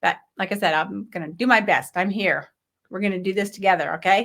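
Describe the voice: A hoarse, put-on character voice moves at a fairly quick pace. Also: woman, medium pitch for a woman.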